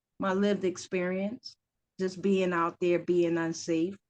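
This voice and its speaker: A woman's normal speaking voice, fairly low in pitch, with fairly even intonation, a moderate pace and a dry, close sound with no echo. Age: 50s. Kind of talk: interview answer.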